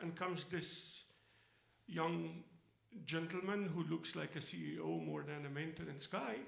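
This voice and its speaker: Audible room echo surrounds a man speaking at a fairly slow pace with lively intonation. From Egypt. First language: Arabic. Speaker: storyteller. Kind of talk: stage storytelling. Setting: stage with audience.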